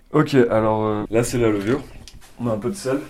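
A man's fairly low voice at a moderate pace. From France. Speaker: home cook. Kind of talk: casual chat. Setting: kitchen. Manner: halting.

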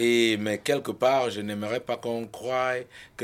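A man with an ordinary speaking voice talks at a fairly low pitch and with fairly even intonation. The recording is very clean, the background silent. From Cameroon. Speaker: rapper. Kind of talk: interview.

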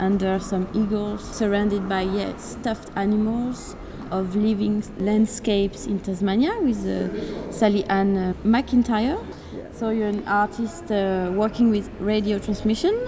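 Speaking in a French accent with hardly any pauses, a woman keeps a fairly slow pace and fairly even intonation over noticeable background noise. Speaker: radio host. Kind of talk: interview. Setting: gallery.

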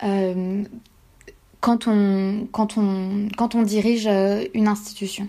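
The voice belongs to a woman. It sits at a fairly high pitch. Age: 20s. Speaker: PhD student and feminist newsletter founder. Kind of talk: personal testimony interview. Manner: halting with frequent fillers.

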